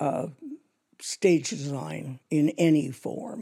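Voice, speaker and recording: A woman's dark, mellow tone with vocal fry. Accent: Canadian. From Canada, Toronto. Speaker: theatre designer. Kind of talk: interview.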